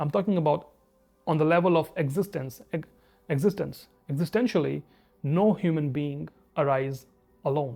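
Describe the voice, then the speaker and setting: A man with an Indian accent and fairly high pitch, at a moderate pace with long, frequent pauses and ordinary pitch variation, over music in the background. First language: Hindi. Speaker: spiritual video essayist. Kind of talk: reflective monologue.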